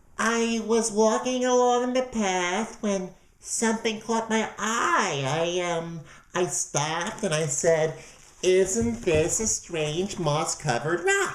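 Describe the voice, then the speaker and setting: A put-on character voice at a middle pitch goes along at a very slow pace. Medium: read story. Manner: sly, ingratiating.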